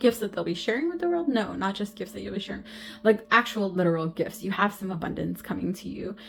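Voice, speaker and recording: With music in the background, a woman talks at a medium pitch with ordinary pitch variation. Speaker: intuitive tarot reader and medium. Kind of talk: spiritual card reading. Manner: halting, stumbling over words.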